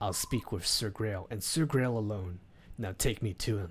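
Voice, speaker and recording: A man puts on a character voice, pitched fairly low. He talks at a moderate pace with ordinary pitch variation. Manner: imperious, demanding.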